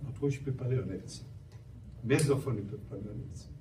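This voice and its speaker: A man speaks at a medium pitch in a room with audible echo. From Haiti. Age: 60s. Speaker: human rights activist. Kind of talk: panel talk.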